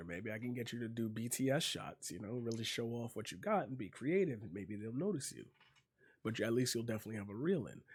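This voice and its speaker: A man puts on a character voice, quiet and raspy at a medium pitch. He speaks at a very fast pace in a very clean recording with a silent background. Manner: speaking quietly.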